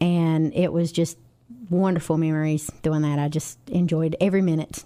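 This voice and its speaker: A woman with a North Carolina accent, fairly low in pitch, monotone and flat, at a moderate pace with very even loudness. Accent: North Carolina Southern. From North Carolina, Johnston County near Kenly. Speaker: nurse and music teacher. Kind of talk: radio interview.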